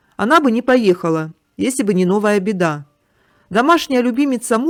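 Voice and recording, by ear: Against a quiet background, the clip has someone reading aloud in a natural voice.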